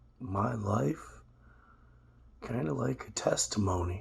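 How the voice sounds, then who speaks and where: A man speaks with a fairly low pitch and very wide pitch swings. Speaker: vlogger sharing personal life. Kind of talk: personal testimony monologue. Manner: casual, hesitant.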